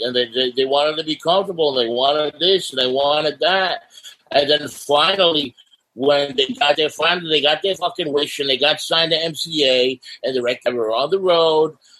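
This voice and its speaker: A fairly high-pitched man with a New York accent, at a moderate pace with ordinary pitch variation. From New York City, Staten Island. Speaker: punk singer. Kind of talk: casual interview. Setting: video call.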